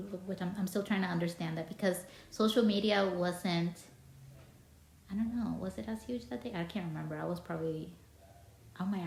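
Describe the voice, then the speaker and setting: Long, frequent pauses break up a woman's fairly low-pitched speech. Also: ordinary pitch variation, fairly quick pace. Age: 30s. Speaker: podcast host. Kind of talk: casual interview chat. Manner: halting, many false starts.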